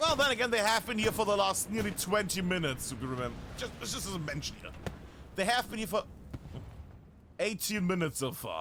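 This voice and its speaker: A man's animated, raised, projected voice, high in pitch, with very wide pitch swings and a very fast pace broken by long, frequent pauses, over noticeable background noise. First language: not English. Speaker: esports caster. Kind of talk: live commentary.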